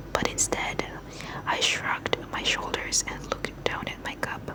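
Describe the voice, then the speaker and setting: Noticeable background noise beneath a very slow whisper. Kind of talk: read story. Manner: whispered, soft.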